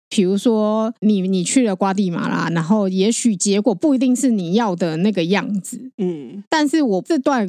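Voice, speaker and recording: This woman has a medium pitch and a dark, mellow tone. Her intonation is lively and her pace moderate. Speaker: podcast co-host. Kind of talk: casual chat.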